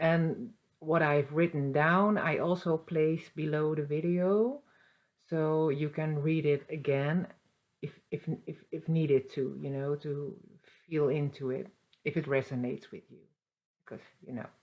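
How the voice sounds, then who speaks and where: A woman with a Dutch accent speaks in a very deep, low voice at a fairly slow pace. Her pitch variation is ordinary, while her loudness swings widely. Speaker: spiritual channeler. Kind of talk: casual spiritual monologue. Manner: halting, many fillers and restarts.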